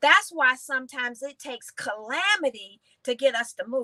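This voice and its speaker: Bright and sharp in tone, a woman's raised, projected voice sounds animated in a dry, close recording with no echo. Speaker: motivational teacher. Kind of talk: teaching session. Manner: animated, preachy.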